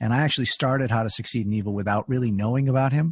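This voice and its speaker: A man speaks in a somewhat breathy voice. The sound is dry and close with no echo, over a quiet background. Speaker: podcast host. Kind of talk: casual interview conversation.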